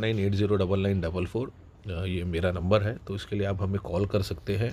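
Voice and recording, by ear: Speaking at a moderate pace, a man with a fairly low pitch has a slightly mellow tone.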